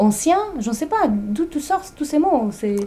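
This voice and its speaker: Here a woman talks with lively intonation. She keeps a moderate pace. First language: not French (speaking French). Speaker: interviewer. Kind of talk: interview.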